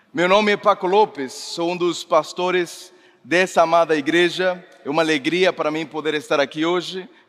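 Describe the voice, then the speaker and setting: There is noticeable background noise behind a man with a high pitch. He keeps a moderate pace and fairly even intonation. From Mexico. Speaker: pastor. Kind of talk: sermon. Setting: church service with congregation.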